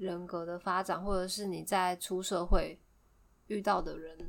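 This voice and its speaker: Medium in pitch, a woman's voice moves at a fairly slow pace. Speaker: podcast co-host. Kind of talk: casual chat.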